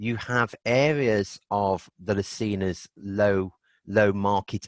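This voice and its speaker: Close, dry sound without echo from a man, the background quiet. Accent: Birmingham. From Birmingham, England (Aston). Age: 60s. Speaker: energy healing therapist. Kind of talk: interview.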